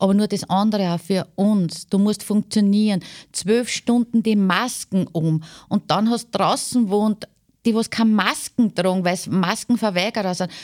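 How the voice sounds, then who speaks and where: A woman's ordinary speaking voice at medium pitch, moderate pace and fairly even intonation, with a dry, close sound and no echo. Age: 50s. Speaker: care home nurse. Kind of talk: interview.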